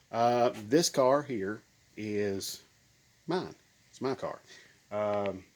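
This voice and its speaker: Speaking at a very slow pace, a man leaves long, frequent pauses. His medium pitch shows ordinary variation. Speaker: car enthusiast video maker. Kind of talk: casual vlog talk.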